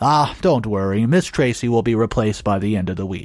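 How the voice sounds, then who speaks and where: Using a put-on character voice, a man talks at a fairly quick pace and medium pitch while music plays in the background. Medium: read story. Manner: formal, reassuring, slightly hesitant.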